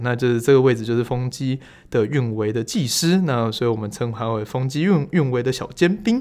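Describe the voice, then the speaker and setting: On a very clean recording with a silent background, a man of medium pitch talks at a fairly quick pace in an unremarkable speaking voice with ordinary pitch variation. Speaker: podcast host, energy educator. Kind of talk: casual interview chat.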